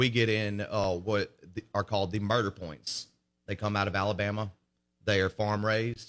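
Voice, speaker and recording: A man with an American accent, fairly low in pitch, at a moderate pace in a monotone, flat intonation. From US Gulf Coast. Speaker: bartender. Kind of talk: casual chat. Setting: studio.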